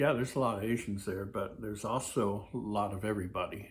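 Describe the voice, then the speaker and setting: A man talks at a moderate pace in a medium pitch with fairly even intonation. His tone is relaxed and somewhat breathy. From Hawaii. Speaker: YouTuber. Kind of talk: casual vlog monologue. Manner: many fillers, relaxed.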